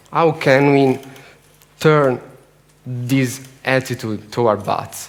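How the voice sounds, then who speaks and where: A man with an Italian accent speaks at a very slow pace. His pitch is medium and his intonation fairly even. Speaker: bat conservation researcher. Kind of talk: conference talk. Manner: halting.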